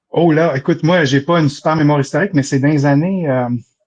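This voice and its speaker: A man with a Quebec accent talks very fast in a fairly high voice, keeping his intonation fairly even. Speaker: debate participant. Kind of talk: live debate.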